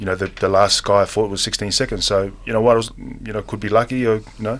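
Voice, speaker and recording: A man talks with an Australian accent at a fairly quick pace. His intonation stays monotone and flat. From Western Australia, Perth. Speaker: mixed martial arts fighter. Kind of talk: studio interview. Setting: studio. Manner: halting, many fillers; laid back, casual.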